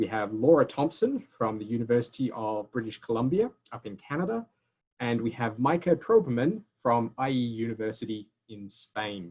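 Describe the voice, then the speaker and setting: A man at a medium pitch with an Australian accent, ordinary pitch variation, a moderate pace and big swings in loudness. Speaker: university admissions representative. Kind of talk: webinar presentation. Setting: video call.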